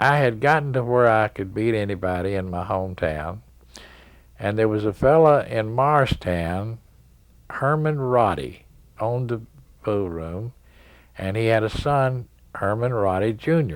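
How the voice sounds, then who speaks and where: Fairly slow, lively-toned speech from a man with an East Tennessee accent, fairly low in pitch, with long, frequent pauses, on a very clean recording with a silent background. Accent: Southern US (East Tennessee). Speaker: pool player. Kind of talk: interview, storytelling. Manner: halting.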